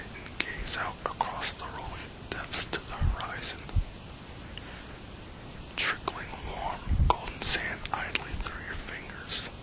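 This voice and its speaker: Whispering at a very slow pace, the voice carries a soothing tone with long, frequent pauses. Background noise is noticeable. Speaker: ASMR whisperer. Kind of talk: relaxation guided imagery / hypnosis-style script. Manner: whispered, slow, soothing.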